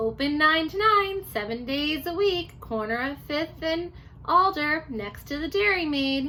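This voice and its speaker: Putting on a character voice, a woman speaks at a fairly slow pace with lively intonation and a high pitch over clear background noise. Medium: read story.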